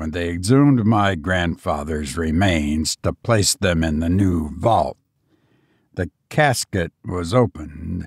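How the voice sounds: In a very clean recording with a silent background, a man puts on a character voice, low-pitched with a slightly husky edge, speaking slowly with ordinary pitch variation.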